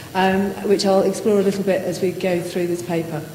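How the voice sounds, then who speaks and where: Noticeable background noise and audible room echo surround a woman speaking at a moderate pace with a medium pitch. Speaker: academic conference speaker. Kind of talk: conference talk. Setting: lecture hall with audience. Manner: soft-spoken.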